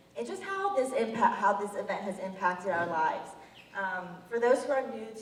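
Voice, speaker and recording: Speech at a moderate pace with audible room echo and noticeable background noise. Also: woman. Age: young. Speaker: college student and patient advocate. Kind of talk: public speech. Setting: event with audience, microphone.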